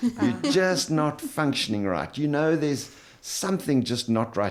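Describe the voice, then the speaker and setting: Noticeable background noise behind lively intonation and a moderate tempo. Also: man. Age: 70s. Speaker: integrative chiropractor. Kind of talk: podcast interview. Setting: podcast studio.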